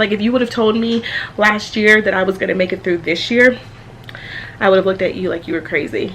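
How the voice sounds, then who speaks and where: A woman of medium pitch speaks at a fairly quick pace with ordinary pitch variation, taking long, frequent pauses amid noticeable background noise. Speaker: family vlogger, mother of twins. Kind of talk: casual vlog chat. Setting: at home. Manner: loud; chatty, many fillers.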